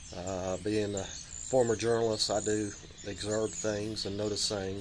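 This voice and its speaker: With noticeable background noise, a man speaks at a moderate pace in a fairly low voice. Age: 60s. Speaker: vlogger, caregiver, former journalist. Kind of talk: casual vlog monologue. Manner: halting, many fillers.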